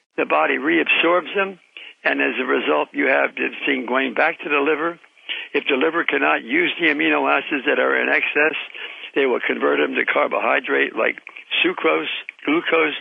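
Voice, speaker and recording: A man at a moderate pace over noticeable background noise. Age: 80s+. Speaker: retired pharmaceutical scientist and inventor. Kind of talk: interview.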